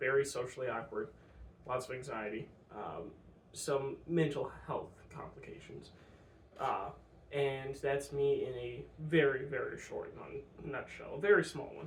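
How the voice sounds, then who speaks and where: There's audible room echo as a man speaks fairly slowly, leaving long, frequent pauses, his loudness swinging widely. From US Midwest. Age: 20s. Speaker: vlogger. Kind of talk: personal vlog monologue. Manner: halting, many fillers.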